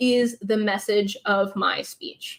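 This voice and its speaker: A woman speaks with an American accent. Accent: Texan, comes out at times. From Texas. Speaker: public speaking coach. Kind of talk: live Q&A session. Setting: livestream.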